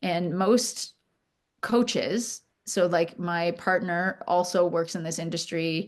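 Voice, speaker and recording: Against a quiet background, a woman speaks with a Canadian accent. Her pitch is fairly low, with ordinary pitch variation. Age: 50s. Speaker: charity founder. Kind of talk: podcast interview. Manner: halting, many fillers and restarts.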